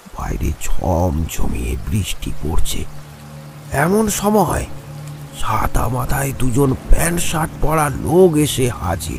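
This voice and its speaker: A man's cartoonish character voice at medium pitch and very slow pace, with clear background noise. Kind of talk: horror story narration. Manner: slow, dramatic, suspenseful.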